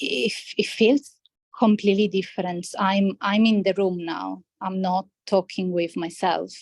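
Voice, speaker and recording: A woman's medium-pitched voice in a non-native accent, fairly slow, with fairly even intonation and a dry, close sound without echo. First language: not English. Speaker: healthcare scientist, former coaching client. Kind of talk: interview conversation. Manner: hesitant, many fillers and restarts.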